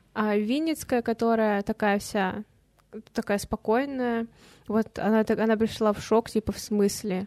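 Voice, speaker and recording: A woman's fairly high-pitched, unremarkable speaking voice at a fairly slow pace, very even in loudness, with a dry, close sound with no echo and a very clean recording with a silent background. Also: fairly even intonation. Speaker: podcast co-host. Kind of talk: casual chat.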